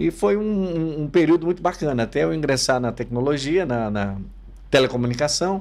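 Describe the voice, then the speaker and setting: A man talks with lively intonation. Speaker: podcast host. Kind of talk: casual interview. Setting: studio.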